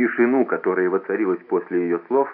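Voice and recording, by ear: Lively intonation marks this natural voice as it reads aloud.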